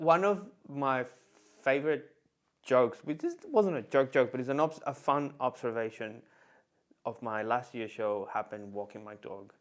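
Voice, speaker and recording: The speaker keeps a moderate pace with lively intonation, big swings in loudness, and long, frequent pauses. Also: man, medium pitch for a man. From Venezuela. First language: Spanish. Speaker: comedian. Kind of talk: casual chat. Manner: halting, many fillers and restarts.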